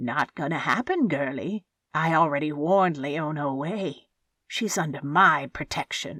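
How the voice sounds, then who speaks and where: A woman's put-on character voice, very deep and low in pitch, at a moderate pace in a very clean recording with a silent background. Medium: read story. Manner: taunting.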